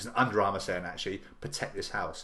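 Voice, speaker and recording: This man speaks with an English accent in a bright, sharp tone. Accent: English accent, self-described as weird. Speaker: business coach. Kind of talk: live stream talk to viewers. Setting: live video stream to camera. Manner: fast; mumbling.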